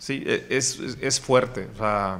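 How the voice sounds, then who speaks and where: This man's tone is bright and sharp, with ordinary pitch variation. He talks at a very slow pace. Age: 30s. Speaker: podcast host and entrepreneur. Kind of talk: interview, personal life story.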